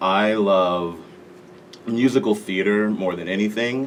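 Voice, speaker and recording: Here is a man with an American accent and a fairly low pitch. He speaks at a fairly slow pace. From Las Vegas, Nevada, US. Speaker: national anthem singer. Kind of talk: interview.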